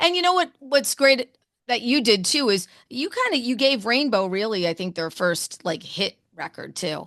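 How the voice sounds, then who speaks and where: Loud and animated, a woman with a New Jersey accent speaks in a high voice at a moderate pace, her pitch swinging very widely. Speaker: radio host. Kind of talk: interview.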